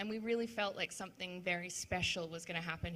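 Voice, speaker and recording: With an Australian accent, a woman speaks very fast in a fairly low pitch, her tone bright and sharp and her intonation fairly even. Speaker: web3 event organizer. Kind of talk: panel discussion.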